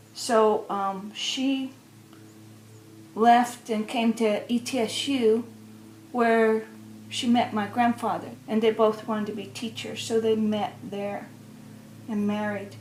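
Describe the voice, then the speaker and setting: A woman speaks at a very slow pace with long, frequent pauses, her fairly high voice keeping a fairly even intonation over music in the background. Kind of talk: personal storytelling. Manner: hesitant, conversational.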